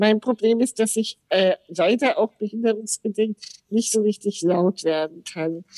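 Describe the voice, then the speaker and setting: Recorded with a dry, close sound and no echo, a woman speaks at a fairly slow pace and a fairly high pitch, with a dark, mellow tone, very even loudness, and ordinary pitch variation. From Austria (Salzburg), German parents. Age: 50s. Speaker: podcast guest, wheelchair user. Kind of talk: casual interview.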